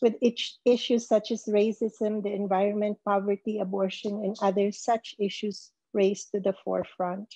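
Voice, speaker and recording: A woman's dark, mellow voice with an American accent, monotone and flat, at a moderate pace with hardly any pauses, in a dry sound with no echo and a quiet background. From US, Southern California. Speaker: ministry director; conference presenter. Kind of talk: talk; closing remarks at virtual workshop. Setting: video call. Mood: warm, earnest. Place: home room. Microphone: webcam.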